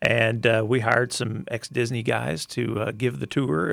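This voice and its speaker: A man's voice with vocal fry, ordinary pitch variation and a fairly slow pace. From Arkansas. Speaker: park CEO. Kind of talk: interview.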